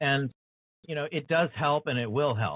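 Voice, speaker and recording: Speaking in an ordinary speaking voice with an American accent, a man keeps a fairly quick pace. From USA. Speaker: author and show host. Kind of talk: interview conversation.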